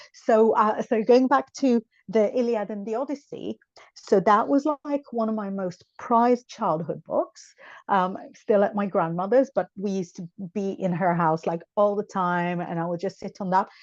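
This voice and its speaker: Speaking in an Israeli accent at a moderate pace, a woman uses lively intonation at a medium pitch, recorded with a dry, close sound with no echo. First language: Hebrew. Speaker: psychic tarot reader. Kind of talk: podcast interview.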